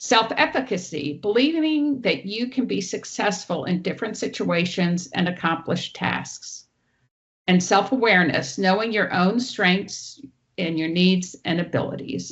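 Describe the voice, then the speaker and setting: At a fairly slow pace, a somewhat breathy woman speaks at a medium pitch with lively intonation. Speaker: presenter on transition planning. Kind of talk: presentation to online meeting.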